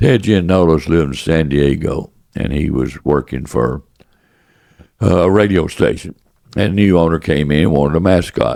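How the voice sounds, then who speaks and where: A man's very deep, low voice carries a dark, mellow tone and vocal fry. His pitch varies in an ordinary way. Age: 80s+. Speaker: businessman, former baseball executive. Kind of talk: interview answer.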